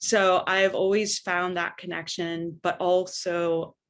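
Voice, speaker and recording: A normal speaking voice with an American accent, fairly slow in pace, over a quiet background. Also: woman. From Northern California. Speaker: arts center developer and entrepreneur. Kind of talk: panel discussion.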